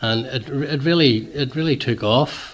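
The speaker is a man with a Northern Irish accent. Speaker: association president. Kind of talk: radio interview, chatty explanation. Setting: radio studio. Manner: chatty, rambling, self-deprecating.

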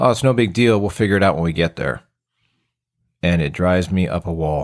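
A man with an American accent and a very deep, low pitch talks at a moderate pace in a very clean recording with a silent background. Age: 40s. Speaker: podcast host and fire captain. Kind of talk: casual solo podcast talk.

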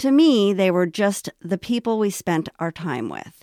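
A woman with an American accent, medium in pitch, with lively intonation at a fairly slow pace, on a very clean recording with a silent background and a dry, close sound with no echo. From Los Angeles, US. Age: 40s. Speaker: podcast host. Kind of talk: scripted monologue.

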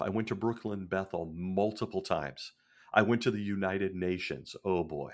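On a very clean recording with a silent background, a man with an American accent uses an ordinary speaking voice, fairly low-pitched with ordinary pitch variation, at a moderate pace. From Northern California, Bay Area. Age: 50s. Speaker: podcast host. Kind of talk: casual monologue.

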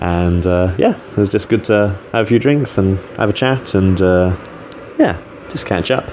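A man speaks with a very deep, low pitch at a fairly slow pace. Background noise is noticeable. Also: ordinary pitch variation. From England. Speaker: podcaster recording an audio diary. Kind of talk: audio diary monologue. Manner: casual with many fillers.

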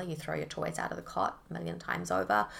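Vocal fry marks the voice of a woman speaking with a New Zealand accent. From New Zealand, Auckland. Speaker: eating disorder recovery coach. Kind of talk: interview about lived experience.

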